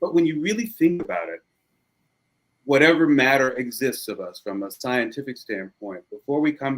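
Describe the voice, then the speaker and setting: Lively intonation marks a man's plain, everyday voice, delivered at a moderate pace. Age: 50s. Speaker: lawyer and musician, podcast guest. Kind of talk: casual interview chat.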